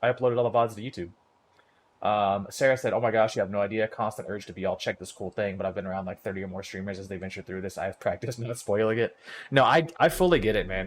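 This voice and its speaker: A man speaks in an animated tone. His pace is very fast. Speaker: gaming streamer. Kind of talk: live gameplay commentary. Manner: casual, animated.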